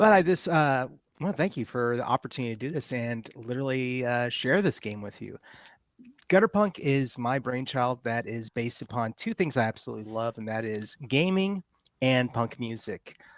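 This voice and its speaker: A man with a Texas accent, medium pitch, lively intonation and a moderate pace, in a dry, close sound with no echo. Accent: Texas twang, some y'all. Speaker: game designer and game master. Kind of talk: game introduction and rules explanation on a live stream. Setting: live online stream.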